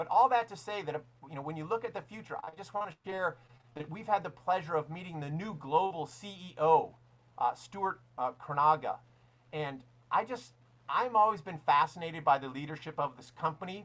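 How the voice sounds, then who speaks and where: Animated and lively in intonation, a man with a high pitch talks at a moderate pace while his loudness swings widely. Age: 60s. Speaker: network marketing mentor. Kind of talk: motivational talk.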